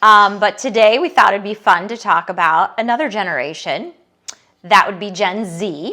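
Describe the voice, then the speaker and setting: With an unremarkable speaking voice, a woman talks at a medium pitch and moderate pace, with lively intonation and big swings in loudness. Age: middle-aged. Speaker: podcast co-host. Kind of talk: casual chat. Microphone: microphone issue in this episode.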